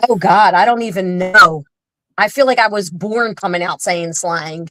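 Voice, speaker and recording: With a strong Philadelphia accent, a woman speaks at a moderate pace and medium pitch. Her tone is bright and sharp, with ordinary pitch variation. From Philadelphia, South Philly. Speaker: social media influencer. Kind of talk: casual interview chat.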